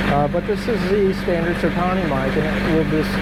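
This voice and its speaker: Over noticeable background noise and audible room echo, a man speaks with a high pitch and fairly even intonation. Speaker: YouTuber testing microphones. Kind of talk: product test vlog. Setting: outdoors on a running tractor. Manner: slightly raised voice over noise.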